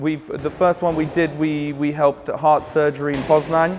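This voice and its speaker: With an English accent, a man speaks at a moderate pace and a fairly high pitch in a monotone, flat intonation, with music in the background. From England and Australia as a child, Polish family. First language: Polish (bilingual). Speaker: charity boxing event organiser. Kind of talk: interview. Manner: halting, with fillers and repeats.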